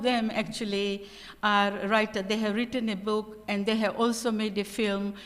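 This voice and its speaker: Noticeable background noise is audible. The talking goes along at a moderate pace. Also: woman. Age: 70s. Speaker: panel speaker, former language tutor. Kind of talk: panel talk.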